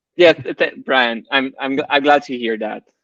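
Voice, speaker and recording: The intonation is fairly even and the pace moderate. The sound is dry and close, with no echo. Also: man. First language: French. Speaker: podcast co-host, ultrarunner. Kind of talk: casual chat.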